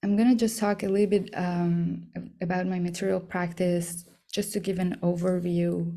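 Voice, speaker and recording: In an Iranian accent, a woman speaks with a fairly low pitch and a dark, mellow tone, her intonation monotone and flat. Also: moderate pace. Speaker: artist. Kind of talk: artist talk. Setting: talk to an audience. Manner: hesitant, many fillers.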